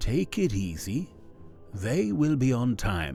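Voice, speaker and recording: Over clear background music, a man does a put-on character voice at a medium pitch and a fairly slow pace. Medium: read story. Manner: smooth, self-assured.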